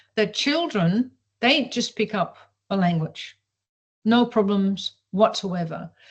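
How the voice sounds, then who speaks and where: A woman speaks at a medium pitch, sounding somewhat breathy. The background is quiet. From Europe. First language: not English. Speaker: professor of evolutionary biology. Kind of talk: interview. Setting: video call.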